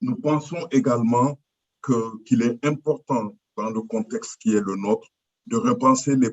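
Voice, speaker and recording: At a fairly slow pace, a man speaks in a medium pitch with lively intonation and big swings in loudness. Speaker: representative of a cultural foundation. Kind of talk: formal conference statement. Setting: video call. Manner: halting, many fillers.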